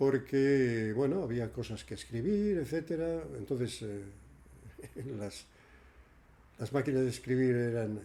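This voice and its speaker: A man speaks at a fairly slow pace with long, frequent pauses and a medium pitch. His tone is dark and mellow, and his intonation is lively. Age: 80s+. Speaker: radio presenter and senior centres coordinator. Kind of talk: interview. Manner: halting.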